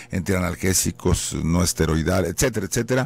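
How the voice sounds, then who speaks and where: A man in an ordinary speaking voice, fairly low in pitch with ordinary pitch variation, speaks at a moderate pace in a dry sound with no echo. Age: 60s. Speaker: anesthesiologist, professor; guest. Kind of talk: radio interview, explaining. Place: studio. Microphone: studio mic.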